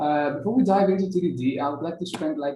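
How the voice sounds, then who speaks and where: A man talking at a very fast pace, ordinary pitch variation, audible room echo. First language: Greek. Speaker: software engineer. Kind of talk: conference talk. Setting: video call.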